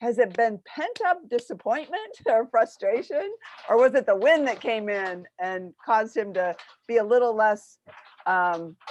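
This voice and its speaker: This woman speaks at a fairly slow pace with lively intonation. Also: fairly high pitch for a woman. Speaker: business owner and show host. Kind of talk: casual chat. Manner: loud; animated.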